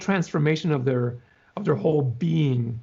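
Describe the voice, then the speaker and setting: With lively intonation and a somewhat breathy voice, a man talks at a fairly slow pace. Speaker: hospital chaplain and mission team member. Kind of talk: casual interview answer, talking about his work. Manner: thoughtful, conversational, with filler words.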